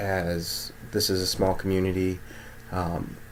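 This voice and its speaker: Against noticeable background noise, a man speaks in a very deep, low pitch. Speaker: mental health clinician vlogger. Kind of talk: casual vlog monologue.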